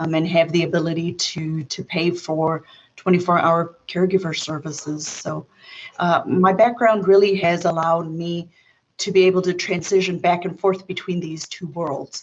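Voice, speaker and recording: A woman's fairly low, monotone voice with flat intonation, at a moderate pace, in an American accent. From South Africa, formative years in New York. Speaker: occupational therapist. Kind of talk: interview.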